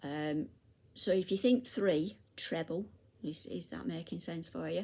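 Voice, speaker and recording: A woman's fairly low, very slow voice in a British accent, with ordinary pitch variation. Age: 60s. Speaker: crochet teacher. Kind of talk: tutorial. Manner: halting.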